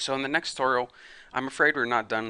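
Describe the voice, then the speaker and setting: Rattling along at a very fast pace, a man uses a raspy, put-on character voice at a medium pitch with fairly even intonation. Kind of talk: casual tutorial narration.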